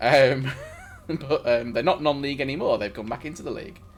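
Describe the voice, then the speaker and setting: A man's fairly high voice carries against noticeable background noise. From northern England, Stockport near Manchester. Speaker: gaming streamer. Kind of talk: casual live-stream chat. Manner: halting, frequent restarts.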